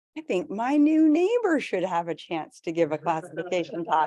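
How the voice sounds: A woman's booming, put-on character voice at a medium pitch, with very wide pitch swings and a moderate pace.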